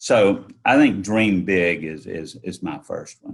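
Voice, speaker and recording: In a Southern US accent, a man speaks with a fairly low pitch. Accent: Southern drawl. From North Carolina, Yadkin County. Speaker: entrepreneur. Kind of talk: interview.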